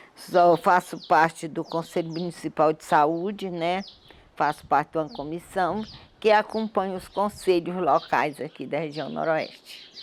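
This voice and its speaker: A woman with an unremarkable speaking voice talks at a fairly slow pace in a fairly low pitch, with ordinary pitch variation. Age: 60s. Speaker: community activist. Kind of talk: testimony.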